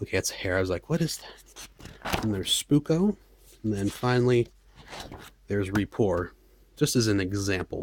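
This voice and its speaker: Long pauses come often in speech that otherwise keeps a moderate pace. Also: man, fairly low pitch for a man, lively intonation. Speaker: hobbyist game designer. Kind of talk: tutorial. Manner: halting; casual, hesitant with fillers.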